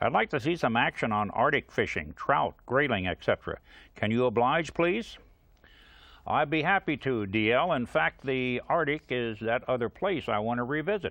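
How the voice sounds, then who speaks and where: With a plain, everyday voice, a man speaks at a moderate pace and medium pitch, his intonation lively. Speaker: TV outdoor show host. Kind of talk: TV show host talk to camera.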